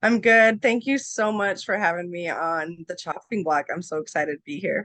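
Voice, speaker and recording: Speaking with an American accent, a woman uses lively intonation at a medium pitch and a moderate pace. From US Midwest, western Nebraska. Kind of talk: interview.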